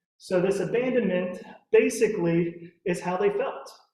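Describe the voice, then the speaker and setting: A man speaks with an American accent at a high pitch. The room echo is audible. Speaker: physics instructor. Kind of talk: lecture. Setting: lecture room with audience, also streamed on Zoom.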